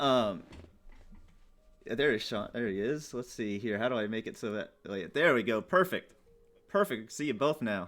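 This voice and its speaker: A man speaks at a moderate pace and medium pitch, with long, frequent pauses. Music plays in the background. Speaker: streamer interviewing guests. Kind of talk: casual chat. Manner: slightly quiet.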